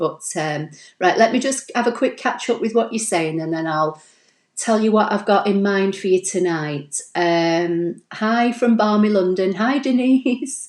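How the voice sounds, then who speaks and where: A Manchester accent, lively intonation, and a fairly slow pace. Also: woman, medium pitch for a woman. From Manchester, northern England. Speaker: crafting YouTuber. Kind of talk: live stream tutorial and viewer chat. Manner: chatty, fillers like um and you know.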